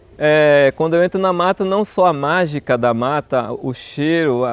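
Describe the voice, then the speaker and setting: A man's lively intonation comes through in a dry sound with no echo. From southern Bahia, Brazil (Una); Bahia, Brazil. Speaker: botany professor. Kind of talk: personal testimony interview. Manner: halting, with repetitions. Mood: warm, reflective. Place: garden. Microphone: lapel.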